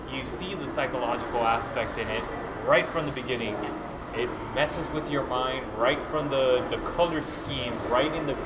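A man's voice with ordinary pitch variation against loud background noise. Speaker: film reviewer host. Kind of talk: conversational film review. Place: hall. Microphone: camera far.

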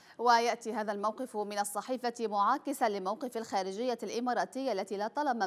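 This is a plain, everyday voice. The pace is moderate. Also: woman. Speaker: news anchor. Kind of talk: news reading. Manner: formal.

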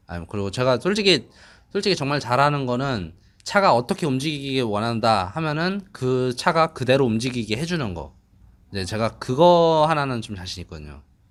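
A speaker with a non-native accent uses very wide pitch swings and big swings in loudness. The recording is very clean, with a silent background. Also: man, medium pitch for a man, moderate pace. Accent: non-native Korean. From Dubai. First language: English (speaking Korean). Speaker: car mechanic and tuner. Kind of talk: interview. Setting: dyno room. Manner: halting.

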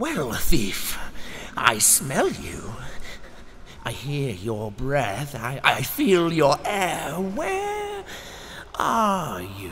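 Putting on a character voice, a man with a fairly high pitch talks very slowly with long, frequent pauses over clear background noise. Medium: voice reel. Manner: slow, menacing.

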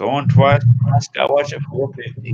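A man talks at medium pitch and a moderate pace, his intonation fairly even. His tone is slightly mellow with a slightly husky edge.

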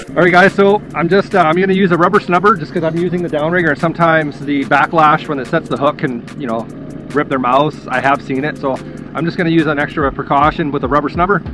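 Music plays behind a man talking at a very fast pace. His pitch variation is ordinary, and the sound is dry with no echo. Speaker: fishing channel host. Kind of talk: tutorial. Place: boat. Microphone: phone near.

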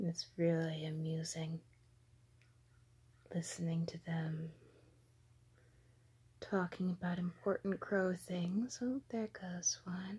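A woman with a fairly low, dark, mellow, somewhat breathy voice speaks at a very slow pace with fairly even intonation and long, frequent pauses. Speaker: vlogger. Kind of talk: ASMR narration. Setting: outdoors. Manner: whispered. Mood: amused, playful. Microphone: phone near.

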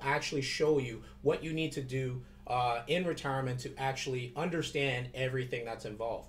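This is a normal speaking voice with ordinary pitch variation at a moderate pace. Light background noise can be heard. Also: man. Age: 30s. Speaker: financial advisor vlogger. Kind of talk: casual video tutorial. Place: office. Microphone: webcam.

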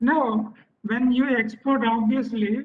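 Over a quiet background, a man with an Indian accent speaks at an extremely high pitch with ordinary pitch variation. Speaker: fisheries scientist; webinar presenter. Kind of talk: webinar presentation. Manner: formal. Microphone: video call.

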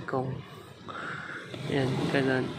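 A man at a fairly slow pace over loud background noise. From Negros Occidental, Philippines. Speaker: family food vlogger. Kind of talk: casual talk to camera. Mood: relaxed, calm morning. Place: beach. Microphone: phone near.

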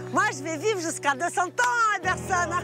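With a Brazilian accent, a woman speaks at a fairly slow pace over clear background music, the sound dry with no echo. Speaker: TV fashion stylist, businesswoman. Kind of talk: casual interview answer. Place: garden. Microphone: lapel.

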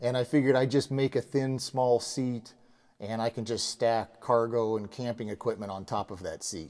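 The voice has a dark, mellow tone and ordinary pitch variation at a moderate pace. The background is quiet. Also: man. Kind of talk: tutorial. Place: garage. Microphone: lapel.

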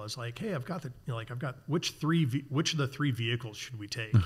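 A somewhat breathy man with an American accent and ordinary pitch variation, against a quiet background. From US Midwest, Chicago suburbs; Illinois. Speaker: outdoor industry executive and sailor; podcast guest. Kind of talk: casual interview conversation. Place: garage. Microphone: studio mic.

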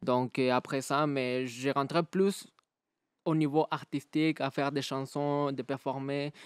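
Against a quiet background with a dry sound and no echo, a man speaks at a very slow pace in a fairly high pitch with fairly even intonation. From Mexico. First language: Spanish (speaking French). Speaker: battle rapper; guest. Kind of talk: casual interview. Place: studio. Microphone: studio mic.

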